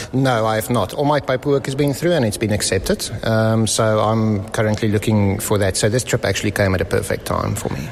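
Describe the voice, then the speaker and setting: With a South African accent, a man speaks fairly quickly and with hardly any pauses, his fairly low voice showing ordinary pitch variation against noticeable background noise. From South Africa, Johannesburg. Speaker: visiting Freemason. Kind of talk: casual interview. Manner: hesitant, many fillers.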